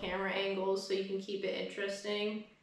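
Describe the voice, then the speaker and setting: A woman talks at a medium pitch with audible room echo. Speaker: YouTuber. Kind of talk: casual update vlog.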